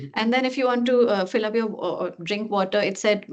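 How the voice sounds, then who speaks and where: With an Indian accent, a woman talks in a fairly high pitch and fairly even intonation over noticeable background noise. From India, Delhi. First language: Hindi. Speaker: researcher. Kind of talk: academic Q&A discussion.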